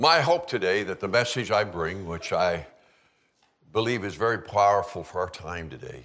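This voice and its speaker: With audible room echo, a man speaks at a moderate pace in a fairly low voice, his intonation lively. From Prince Edward Island, eastern Canada. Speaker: preacher. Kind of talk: sermon. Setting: church.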